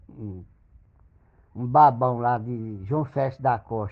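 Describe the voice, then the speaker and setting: The speaker is a man. There is ordinary variation in his pitch. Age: 70s. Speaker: father and grandfather. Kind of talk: angry rant. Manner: loud.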